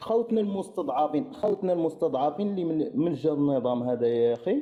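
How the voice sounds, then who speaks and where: The man's pitch sits fairly high and swings very widely. He talks at a fairly quick pace. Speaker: caller on live stream. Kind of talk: heated debate. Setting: live stream. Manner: interrupting.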